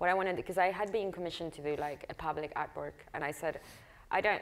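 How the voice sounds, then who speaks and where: A woman with a Spanish accent is captured in a very clean recording with a silent background. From Argentina, Patagonia. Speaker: visual artist. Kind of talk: public conversation.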